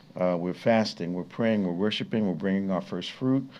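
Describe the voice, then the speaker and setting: This man has a dark, mellow tone. His pitch is fairly low. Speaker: radio host and bishop. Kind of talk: radio talk show announcements. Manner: fast.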